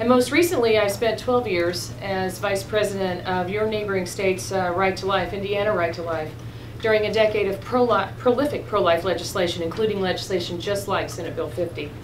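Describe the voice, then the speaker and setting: Through noticeable background noise, a woman talks at a fairly quick pace. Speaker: witness. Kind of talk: formal testimony. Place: meeting room.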